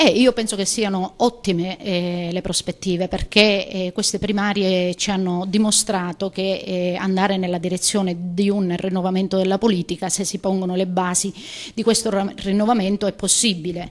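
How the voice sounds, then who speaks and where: This woman keeps a moderate pace. Her delivery is monotone, with flat intonation. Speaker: candidate. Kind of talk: interview answer. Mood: pleased, confident. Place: hall. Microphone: handheld.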